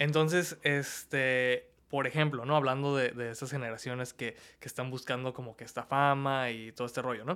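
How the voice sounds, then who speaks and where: Recorded very cleanly with a silent background, a man speaks at a medium pitch and moderate pace, his tone bright and sharp and his intonation fairly even. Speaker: body piercer. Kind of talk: casual chat. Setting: studio.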